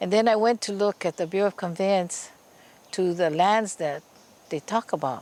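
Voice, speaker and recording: A woman's medium-pitched voice with a Hawaiian accent, ordinary pitch variation and a moderate pace. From Hawaii (Oahu, Laie and Kahuku). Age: 70s. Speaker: Hawaiian land rights activist. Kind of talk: interview testimony.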